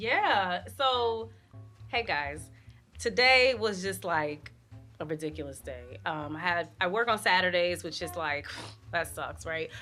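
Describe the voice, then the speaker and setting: Music plays in the background as a woman with a New York accent speaks at a fairly slow pace. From Brooklyn, New York. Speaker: news reporter. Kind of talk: interview answer.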